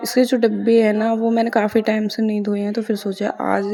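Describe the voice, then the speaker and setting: A woman with a fairly high pitch speaks fairly slowly over noticeable background noise. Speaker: vlogger, mother. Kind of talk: vlog voice-over. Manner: casual, chatty.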